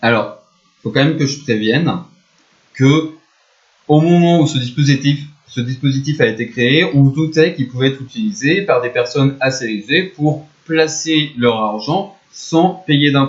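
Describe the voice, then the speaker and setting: This man talks at a fairly slow pace with a fairly high pitch. His voice is somewhat breathy, with ordinary pitch variation. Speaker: economics teacher. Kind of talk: explainer video. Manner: casual, conversational.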